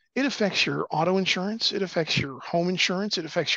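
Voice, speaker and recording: A man's bright, sharp tone carries ordinary pitch variation in a dry sound with no echo against a quiet background. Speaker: guest. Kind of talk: interview answer. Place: meeting room. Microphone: headset.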